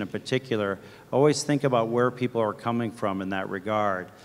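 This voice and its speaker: A man with an American accent at a medium pitch, a fairly quick pace and fairly even intonation, in a normal speaking voice. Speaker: corporate marketing executive. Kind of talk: conference panel discussion.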